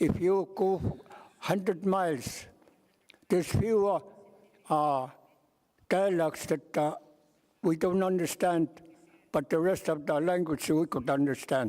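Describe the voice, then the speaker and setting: With an Alaskan accent, a man talks at a fairly slow pace in a high pitch and a dark, mellow tone, with ordinary pitch variation, very even loudness, and long, frequent pauses. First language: Yupik. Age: 80s+. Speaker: elder delegate. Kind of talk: meeting remarks. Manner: halting.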